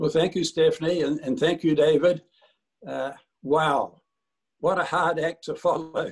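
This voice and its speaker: A man with a New Zealand accent speaks at a fairly high pitch and a fairly slow pace. His intonation is monotone and flat, with long, frequent pauses. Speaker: service club leader. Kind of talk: speech on video call. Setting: video call.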